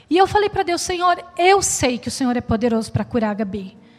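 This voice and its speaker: Music plays in the background as a woman talks. Her pace is moderate and her intonation lively. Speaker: preacher. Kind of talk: sermon. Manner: earnest, preacherly and reflective, with a steady pace and exhortation.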